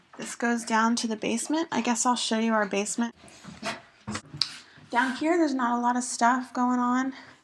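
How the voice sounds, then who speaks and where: A woman's high-pitched voice with long, frequent pauses, against noticeable background noise. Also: fairly even intonation, moderate pace. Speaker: lifestyle vlogger. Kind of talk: casual house tour vlog. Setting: at home, walking through house. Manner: quieter while child naps upstairs.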